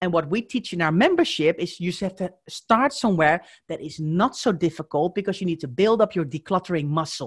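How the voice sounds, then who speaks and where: A woman with a Dutch accent speaks with lively intonation and hardly any pauses, her fairly low voice somewhat breathy. The sound is dry and close with no echo, over a quiet background. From Netherlands. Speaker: professional declutterer and organizer. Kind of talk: casual interview chat.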